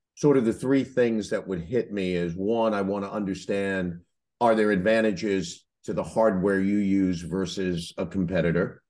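A man with a normal speaking voice speaks slowly enough, at a fairly low pitch and with ordinary pitch variation, for a fairly slow pace. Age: 60s. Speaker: podcast host, franchise consultant. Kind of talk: casual interview.

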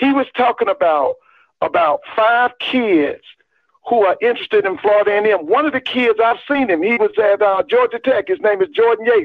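A man with an extremely high pitch speaks at a moderate pace. His intonation is lively while his loudness stays very even. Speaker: caller.

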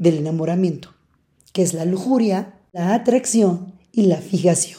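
With a dark, mellow tone and ordinary pitch variation, a woman talks very slowly. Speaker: podcast host. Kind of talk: casual monologue. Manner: loud.

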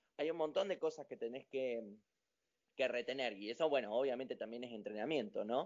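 Using an unremarkable speaking voice at medium pitch, a man talks at a fairly quick pace with ordinary pitch variation. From Argentina, General Roca, Río Negro (Patagonia). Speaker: professional dancer. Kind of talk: interview.

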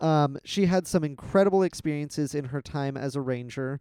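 A man's dark, mellow voice at a moderate pace, dry and close with no echo. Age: 20s. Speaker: podcast co-host telling inspirational stories. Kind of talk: casual storytelling chat.

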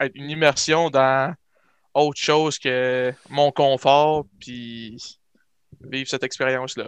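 A man speaks at a medium pitch with flat, monotone intonation and big swings in loudness. The sound is dry and close with no echo, over a quiet background. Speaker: nursing student. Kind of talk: casual chat.

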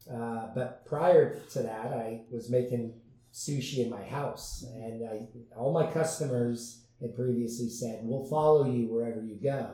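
Fairly slow, fairly even speech with hardly any pauses, with audible room echo and noticeable background noise. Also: man, medium pitch for a man. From US West Coast, San Diego. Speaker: restaurant owner. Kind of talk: interview.

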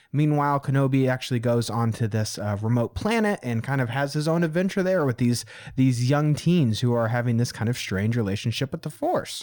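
A man speaks fairly quickly in a plain, everyday voice, with hardly any pauses. His pitch is medium, with ordinary pitch variation. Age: 20s. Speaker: podcast host. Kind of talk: casual chat.

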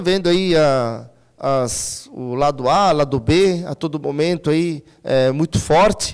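Here a man is talking. The variation in his pitch is ordinary. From Santa Catarina, Brazil (Timbó). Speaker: local politician. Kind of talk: interview. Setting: studio. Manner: halting.

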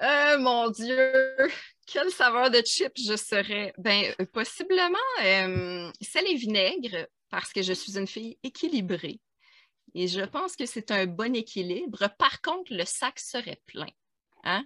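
Speaking in a Quebec accent, a woman with a fairly high pitch talks at a very slow pace with very wide pitch swings and long, frequent pauses, her voice dry and close with no echo. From Quebec, Abitibi. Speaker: podcast guest. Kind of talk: casual chat.

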